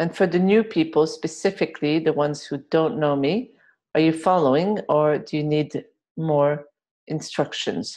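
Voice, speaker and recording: A woman with a French accent speaks at a moderate pace, her pitch very deep and low with ordinary variation. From France. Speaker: healer and workshop leader. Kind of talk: group healing webinar. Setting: video webinar. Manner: occasional involuntary jolts and exclamations.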